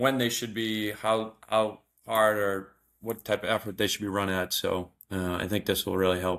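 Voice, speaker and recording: On a very clean recording with a silent background, a man with a Boston accent speaks at a moderate pace in a fairly low pitch with monotone, flat intonation. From Boston area, US. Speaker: amateur marathon runner. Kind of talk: casual chat.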